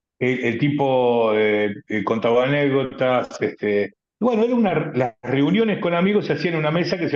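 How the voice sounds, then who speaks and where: Speaking at a moderate pace, a man with a Rioplatense accent has a fairly high pitch. His pitch swings very widely. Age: 60s. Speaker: writer. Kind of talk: radio interview.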